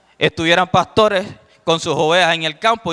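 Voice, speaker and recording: A man's bright, sharp tone at a moderate pace, dry and close with no echo, on a very clean recording with a silent background. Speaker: evangelist preacher. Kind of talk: sermon. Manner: soft-spoken.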